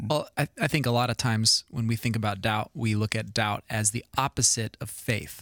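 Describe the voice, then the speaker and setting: A man with a normal speaking voice, medium in pitch, at a moderate pace with fairly even intonation, on a very clean recording with a silent background and a dry, close sound without echo. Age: 30s. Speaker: podcast co-host. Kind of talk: casual chat.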